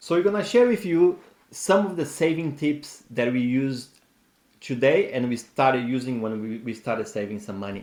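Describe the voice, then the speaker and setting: With a non-native accent, this man talks at a moderate pace in a medium-pitched voice with lively intonation. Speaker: personal finance YouTuber. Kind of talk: casual advice talk.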